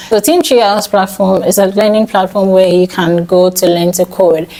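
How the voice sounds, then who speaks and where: A woman with fairly even intonation, against noticeable background noise. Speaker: software developer and vlogger. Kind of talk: vlog tutorial talk. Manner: fast.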